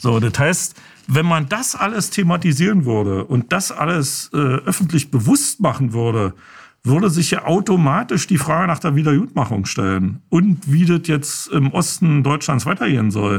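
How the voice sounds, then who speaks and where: A man with a Berlin accent, fairly high pitch, vocal fry, very wide pitch swings, very even loudness and a moderate pace. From East Berlin. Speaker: filmmaker. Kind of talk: interview. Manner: hesitant, many fillers.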